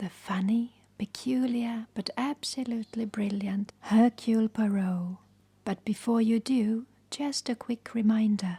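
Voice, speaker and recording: A woman's fairly high, somewhat breathy voice with a dark, mellow tone, calm and fairly even in intonation, at a fairly slow pace in a dry, close sound with no echo. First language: not English. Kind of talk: channel introduction to camera. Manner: calm, relaxing.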